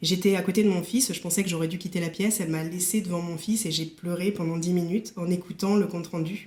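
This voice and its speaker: Her delivery is very fast with hardly any pauses, as a woman at a fairly low pitch talks in a monotone, flat intonation. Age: 40s. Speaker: company director with burnout. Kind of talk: testimony. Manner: hesitant, many fillers.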